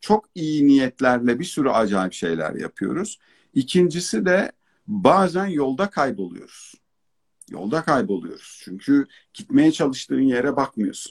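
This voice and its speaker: With very wide pitch swings, a man with a fairly high pitch speaks at a fairly slow pace in a dry, close sound with no echo. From Turkey. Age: 40s. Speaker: educator, consultant and author. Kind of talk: online talk / interview. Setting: online live broadcast.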